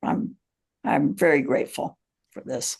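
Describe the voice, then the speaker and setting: A woman's very deep, low voice with vocal fry, fairly slow and full of very wide pitch swings. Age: 80s+. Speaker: couples therapist. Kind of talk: casual chat.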